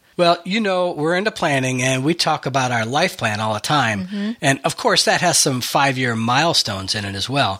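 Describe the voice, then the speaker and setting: This voice runs on with hardly any pauses while its pitch swings very widely. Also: man, fairly high pitch for a man, moderate pace. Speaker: podcast host. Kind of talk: casual chat.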